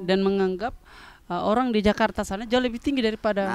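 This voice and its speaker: Someone with a Southeast Sulawesi accent talks at a very fast pace. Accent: Southeast Sulawesi Wakatobi. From Southeast Sulawesi, Indonesia.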